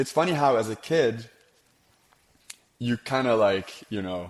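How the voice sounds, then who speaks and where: A man talks with an Arabic accent. His pace is moderate. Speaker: music producer and audio plugin founder. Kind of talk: podcast interview conversation.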